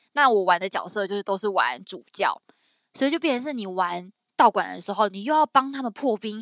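Over a quiet background, a woman talks at a fairly quick pace in a bright, sharp, animated tone with lively intonation and a dry, close sound with no echo. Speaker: podcast co-host. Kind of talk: casual chat.

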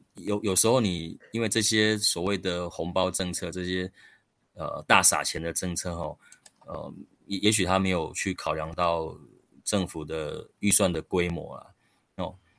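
In a very deep, low pitch, a man talks at a fairly slow pace with fairly even intonation. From Taiwan, rural Chiayi County. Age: 40s. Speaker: local council candidate. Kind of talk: interview.

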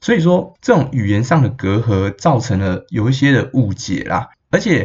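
The voice is somewhat breathy. Its pace is fairly slow. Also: man. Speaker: podcast host and astrology reader. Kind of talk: casual solo podcast talk.

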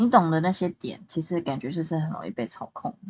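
A woman uses an ordinary speaking voice, fairly low in pitch. Her pace is moderate and her intonation lively. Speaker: amateur podcast co-host. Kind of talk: casual chat.

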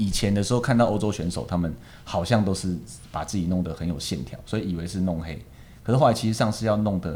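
Lively intonation runs through a dark, mellow tone. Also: man. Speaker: ballroom and Latin dance teacher. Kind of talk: casual interview chat.

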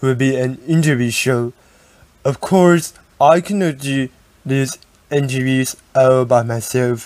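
A man talks with a Taiwanese accent in a medium pitch, with ordinary pitch variation. His pace is fairly slow, broken by long, frequent pauses. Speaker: podcast host. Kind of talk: scripted narration.

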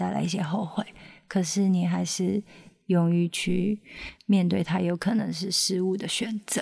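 A woman speaks at a moderate pace in a medium-pitched, dark and mellow voice that is somewhat breathy. Her intonation is flat and monotone, on a very clean recording with a silent background. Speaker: singer-songwriter and backing vocalist. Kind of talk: interview.

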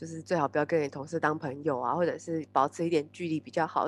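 A woman with a fairly low pitch talks at a very fast pace, the sound dry and close with no echo. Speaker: podcast co-host. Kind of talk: casual chat.

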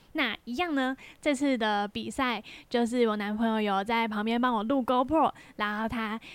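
A woman in a Taiwanese accent speaks at a moderate pace with a fairly high pitch and fairly even intonation. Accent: Taiwanese Mandarin. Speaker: podcast host and amateur triathlete. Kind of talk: casual solo podcast monologue.

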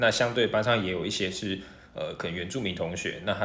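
A man speaks at a moderate pace in a normal speaking voice, his pitch fairly low. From Taiwan, half Hokkien half mainlander family. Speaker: university student. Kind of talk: casual interview.

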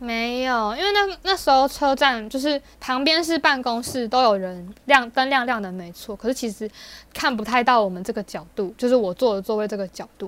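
A woman with a Taiwanese accent speaks at a high pitch and a moderate pace, her intonation lively and her delivery with hardly any pauses. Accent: Taiwanese Mandarin. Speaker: podcast co-host. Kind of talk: casual chat.

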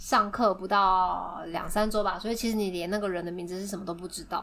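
A woman's bright, sharp tone at a fairly quick pace, with ordinary pitch variation. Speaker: podcast co-host. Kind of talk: casual chat.

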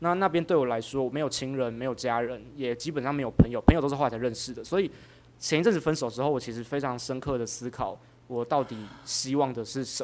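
Talking at a very fast pace with a Taiwanese accent, a man has a medium pitch and ordinary pitch variation. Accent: Taiwanese Mandarin. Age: 30s. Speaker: county councilor. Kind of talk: interview.

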